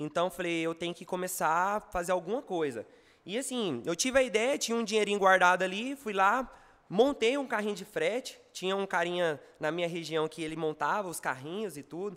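A man speaks at a fairly quick pace in a high voice with lively intonation. The recording is very clean, with a silent background. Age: 20s. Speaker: entrepreneur, franchise founder. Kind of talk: interview on live stream.

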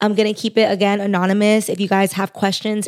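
At a fairly quick pace, a woman speaks with an American accent and a medium pitch. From San Fernando Valley, Los Angeles. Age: 20s. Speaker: podcast host. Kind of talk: solo podcast monologue. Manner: casual, filler-heavy (frequent like, um).

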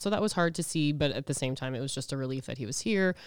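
This speaker has a Canadian Prairies accent. The pace is very fast. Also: woman. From Edmonton, Alberta, Canada. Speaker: podcast guest sharing grief experience. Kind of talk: casual interview, personal testimony.

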